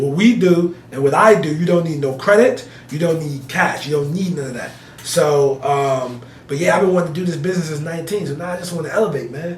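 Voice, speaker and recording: Amid noticeable background noise and audible room echo, a man with an American accent speaks fairly quickly at a fairly high pitch with ordinary pitch variation. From New Jersey (Elizabeth, north Jersey). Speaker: real estate investor. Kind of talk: interview. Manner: animated.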